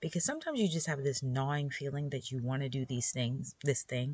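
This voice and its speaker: A woman's very deep, low voice, somewhat breathy and relaxed in tone, with ordinary pitch variation. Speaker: podcast host for homeschool moms. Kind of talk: casual solo podcast talk.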